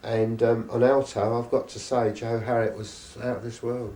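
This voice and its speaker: Someone speaks in an English accent at a moderate pace. There is audible room echo. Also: man. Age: 70s. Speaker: live music promoter and jazz saxophonist. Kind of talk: interview. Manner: halting.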